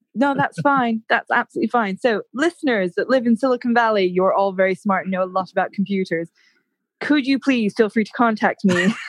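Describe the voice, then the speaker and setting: In a fairly high, somewhat breathy voice, a woman with an American accent talks at a fairly quick pace with lively intonation, recorded with a dry, close sound, no echo and a quiet background. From United States. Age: 30s. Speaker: podcaster. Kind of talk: casual chat. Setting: at home, remote call.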